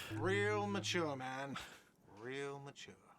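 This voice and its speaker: A man's put-on, whiny character voice, medium in pitch and whiny in tone, with audible echo. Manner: whiny, sarcastic.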